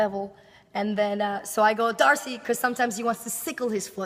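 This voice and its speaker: Noticeable noise sits behind a woman speaking at a fairly quick pace. Her fairly high pitch shows ordinary variation. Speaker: professional dance teacher. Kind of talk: casual chat.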